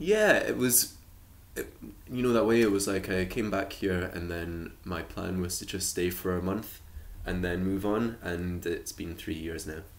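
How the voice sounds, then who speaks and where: Speaking at a fairly slow pace, a man with a very deep, low voice uses ordinary pitch variation amid audible room echo. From Shetland, Scotland. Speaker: musician and arts worker. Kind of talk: casual chat. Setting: podcast interview. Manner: hesitant, many fillers.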